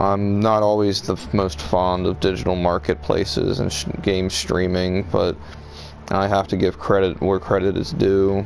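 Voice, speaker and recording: A man's very deep, low voice at a moderate pace, fairly even in intonation, with noticeable background noise. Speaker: gaming streamer. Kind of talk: live gameplay commentary. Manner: casual, halting with fillers.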